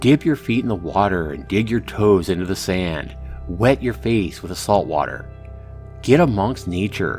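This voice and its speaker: Lively intonation at a moderate pace over background music. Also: man. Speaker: YouTuber. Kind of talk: letter read aloud.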